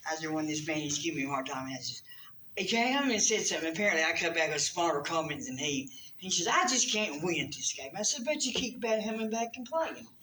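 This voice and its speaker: Speaking very fast in a North Carolina accent, a woman swings her pitch very widely, with audible room echo and noticeable background noise. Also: fairly low pitch for a woman. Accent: Southern US (North Carolina). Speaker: comedian. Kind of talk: stand-up.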